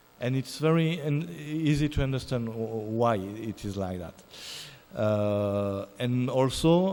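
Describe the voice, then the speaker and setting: Amid audible room echo, a man talks at a very slow pace with lively intonation. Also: medium pitch for a man. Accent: French. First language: French. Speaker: musicologist. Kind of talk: lecture. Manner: halting.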